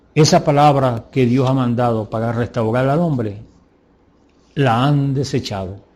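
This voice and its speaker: A man's medium-pitched, dark, mellow voice, somewhat breathy, at a fairly slow pace against a quiet background. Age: 70s. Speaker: preacher. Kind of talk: sermon. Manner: animated.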